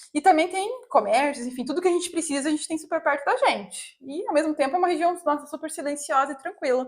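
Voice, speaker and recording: A woman talks at a fairly quick pace. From Brazil, Curitiba (Paraná). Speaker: vlogger. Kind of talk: casual chat.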